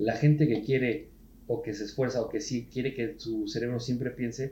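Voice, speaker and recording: In a Mexican accent, a man talks at a moderate pace with a dark, mellow, somewhat breathy tone, medium pitch and fairly even intonation. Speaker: podcast host. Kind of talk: casual chat.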